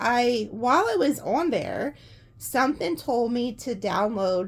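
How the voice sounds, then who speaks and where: With lively intonation and vocal fry, a woman speaks in a very clean recording with a silent background. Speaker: tarot reader. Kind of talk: tarot reading with casual chat. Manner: casual, rambling with fillers.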